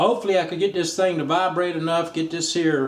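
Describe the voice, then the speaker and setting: A man talks at a very fast pace with a fairly high pitch. Noticeable background noise is present. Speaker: auto repair youtuber. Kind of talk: tutorial.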